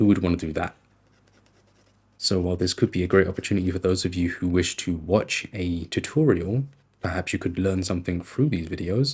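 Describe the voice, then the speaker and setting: A man whispers at a moderate pace, somewhat breathy. The recording is very clean with a silent background. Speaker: artist and ASMR creator. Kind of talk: ASMR whispered monologue while drawing. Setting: at home late at night. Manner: whispering; soft-spoken.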